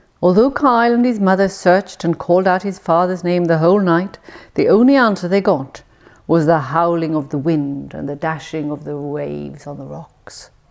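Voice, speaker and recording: With lively intonation and big swings in loudness, a woman speaks in a fairly low voice at a moderate pace over noticeable background noise. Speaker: English tutor. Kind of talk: storytelling reading.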